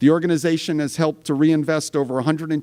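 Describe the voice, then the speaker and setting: In a very clean recording with a silent background, a man with an American accent speaks quickly enough to count as fairly quick, his intonation fairly even. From New York City. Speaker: event host. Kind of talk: speaker introduction. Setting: stage with audience. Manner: halting, many fillers.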